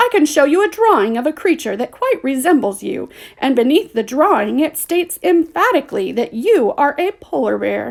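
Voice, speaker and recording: Projecting a raised voice, a woman performs a high-pitched character voice with hardly any pauses. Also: moderate pace. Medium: read story. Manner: well-spoken, curt.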